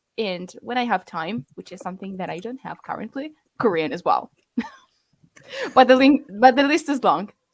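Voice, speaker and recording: A woman with an Italian accent talks at a moderate pace and fairly high pitch, with very wide pitch swings, big swings in loudness, and long, frequent pauses. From Italy. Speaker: language learning content creator. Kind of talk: casual chat. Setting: livestream. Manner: halting.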